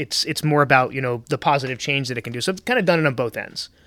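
This man has a bright, sharp tone and a fairly high pitch. He speaks with an American accent and ordinary pitch variation. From Central Florida. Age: 40s. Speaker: entrepreneur. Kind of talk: casual chat. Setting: restaurant.

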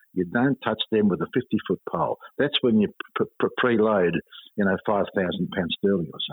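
Speaking with an Australian accent, a man talks at a fairly quick pace with ordinary pitch variation. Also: fairly low pitch for a man. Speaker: finance author and commentator. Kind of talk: interview. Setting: phone call.

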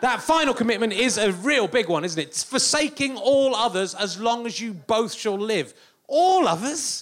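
A man with an English accent and lively intonation. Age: 40s. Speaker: comedian. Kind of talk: stand-up. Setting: stage with audience.

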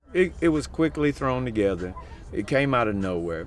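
A man's voice moves through very wide pitch swings. Audible room echo surrounds it. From Kentucky. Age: 50s. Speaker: homeless camp resident. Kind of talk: interview in his tent. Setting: inside a tent. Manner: halting.

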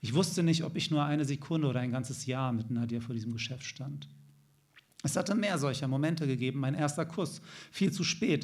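With audible room echo around him, a man speaks fairly quickly in a fairly high, somewhat breathy voice with ordinary pitch variation. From Germany, Hanover. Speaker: novelist. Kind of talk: reading aloud. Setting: stage with audience.

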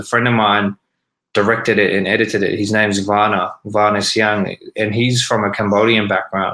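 A man's fairly low, bright and sharp voice with an Australian accent, fairly quick and monotone with flat intonation. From Sydney, Australia. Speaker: rapper. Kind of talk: casual interview chat. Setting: video call.

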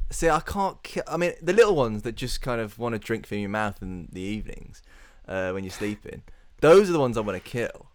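Medium in pitch, a man with a British accent talks at a fairly quick pace. His pitch swings very widely. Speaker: podcast co-host. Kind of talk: casual chat.

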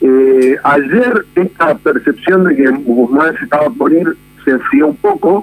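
A man's high voice with very wide pitch swings. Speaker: political journalist. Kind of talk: radio interview.

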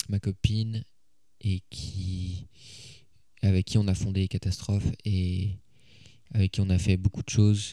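A man's very deep, low voice, dark and mellow in tone, flat and monotone, at a very slow pace with long, frequent pauses. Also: very clean recording, silent background. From Paris, France. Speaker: singer-songwriter. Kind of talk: interview. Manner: halting, many hesitations.

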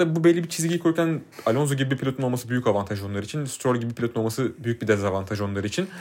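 Speaking at a very fast pace, a man leaves hardly any pauses. His medium pitch carries lively intonation. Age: 20s. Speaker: podcast co-host, F1 commentator. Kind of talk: casual chat. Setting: studio, face to face.

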